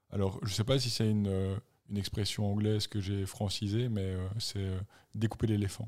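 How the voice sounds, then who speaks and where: A man speaks at a fairly low pitch in a flat monotone. The recording is very clean with a silent background. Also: moderate pace. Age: 40s. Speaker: podcast co-host, runner. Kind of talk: casual chat.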